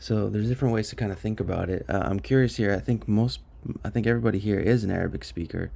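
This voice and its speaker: This man's voice has a dark, mellow tone, a fairly low pitch and ordinary pitch variation. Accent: American. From US. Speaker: study group leader. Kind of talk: online study session discussion. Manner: halting, many fillers.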